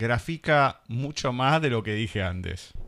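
On a very clean recording with a silent background, a man speaks at a medium pitch in a bright, sharp tone with lively intonation. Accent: Argentine. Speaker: radio host. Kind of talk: radio interview. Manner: halting.

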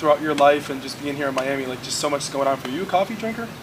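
Over noticeable background noise, a man with an American accent talks at a very fast pace, his pitch fairly high and his pitch variation ordinary. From Southwest Florida, Fort Myers. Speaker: podcast host. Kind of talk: casual chat. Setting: in person, Miami.

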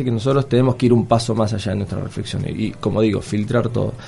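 A man at a very fast pace and medium pitch, with music in the background. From southern Argentina (Patagonia). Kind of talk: radio interview. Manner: halting, many fillers.

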